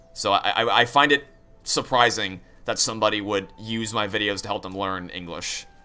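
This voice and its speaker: Music playing behind a man with a fairly low-pitched voice. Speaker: gaming streamer. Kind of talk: casual livestream chat. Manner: very fast talker; animated.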